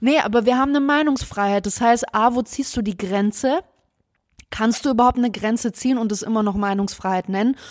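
A plain, everyday voice at a fairly quick pace, with ordinary pitch variation. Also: woman, fairly high pitch for a woman. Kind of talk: casual chat. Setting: home recording, sitting close together. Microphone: very close to the mic.

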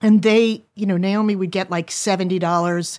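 A woman with a plain, everyday voice speaks at a moderate pace. Her pitch is medium and her intonation fairly even, on a very clean recording with a silent background. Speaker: adult daughter of a guest. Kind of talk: casual conversation.

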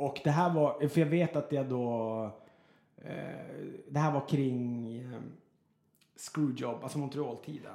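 A man with a fairly high pitch and a dark, mellow tone speaks very slowly. Long pauses come often. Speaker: radio host. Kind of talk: casual chat. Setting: in an apartment.

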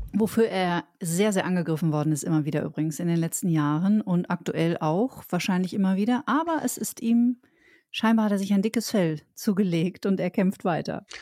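A woman at medium pitch speaks with a dark, mellow tone, ordinary pitch variation and very even loudness, in a very clean recording with a silent background. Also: moderate pace, dry, close sound with no echo. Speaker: podcast co-host. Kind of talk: casual chat.

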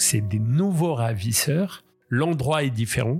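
A man talks with lively intonation. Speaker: kidnapping survivor. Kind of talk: testimony.

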